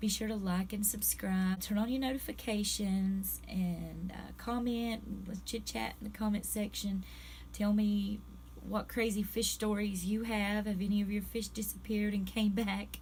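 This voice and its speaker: Speaking at a moderate pace, a woman is heard with audible room echo around her. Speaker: pet fish vlogger. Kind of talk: casual vlog talk. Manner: conversational, halting.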